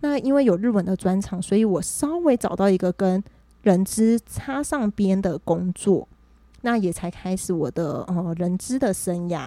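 A woman speaks at a medium pitch and a fairly slow pace, her tone dark and mellow. Her intonation is lively, and the sound is dry and close with no echo. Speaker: HR professional. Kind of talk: casual chat. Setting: host's home.

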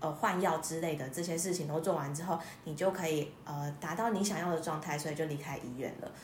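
A woman speaks at a moderate pace in a fairly low pitch. Audible room echo and noticeable background noise surround her voice. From Taiwan. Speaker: music therapist, former nurse. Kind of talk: interview.

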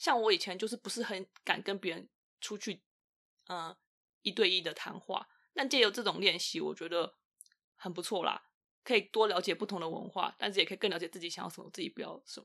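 Against a silent background in a very clean recording, a woman talks at a fairly quick pace in a bright, sharp tone, with ordinary pitch variation and long, frequent pauses. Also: medium pitch for a woman, big swings in loudness. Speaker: podcast guest sharing dating experience. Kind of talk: casual chat.

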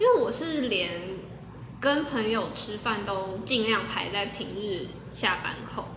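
A woman at a very slow pace with ordinary pitch variation, plus audible room echo and noticeable background noise. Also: fairly high pitch for a woman. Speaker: podcast co-host. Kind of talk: casual chat.

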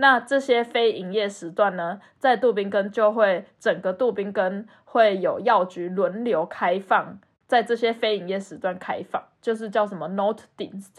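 A woman with an unremarkable speaking voice talks at a fairly slow pace, with hardly any pauses and ordinary pitch variation. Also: medium pitch for a woman. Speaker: podcast co-host. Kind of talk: casual chat.

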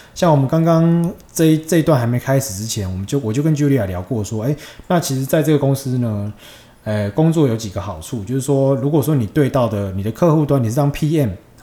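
Against noticeable background noise, a man speaks fairly quickly at a medium pitch with lively intonation. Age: 30s. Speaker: podcast host. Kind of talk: casual chat. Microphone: cheap microphone.

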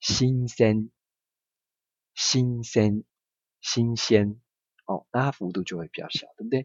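Pausing long and often, a man speaks very slowly at a medium pitch, with ordinary pitch variation and big swings in loudness. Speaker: Japanese language teacher. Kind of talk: language lesson. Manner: slow, repetitive drilling.

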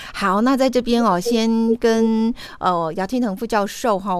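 A woman's fairly high voice at a moderate pace. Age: 40s. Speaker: radio host. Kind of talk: radio interview.

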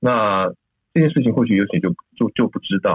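Speaking at a moderate pace, this man's pitch swings very widely. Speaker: emergency physician and medical school vice dean. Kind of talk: interview discussion. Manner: hesitant, many fillers.

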